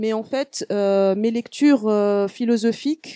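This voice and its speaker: A woman's fairly high-pitched voice in a dark, mellow tone, at a fairly slow pace, dry and close with no echo, on a very clean recording with a silent background. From Tunisia. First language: Arabic (Tunisian) (speaking French). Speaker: visual artist. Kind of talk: panel talk. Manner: halting, many fillers and restarts.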